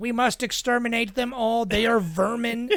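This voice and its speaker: An extremely high-pitched put-on character voice from a man, delivered at a moderate pace. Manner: menacing, hardcore.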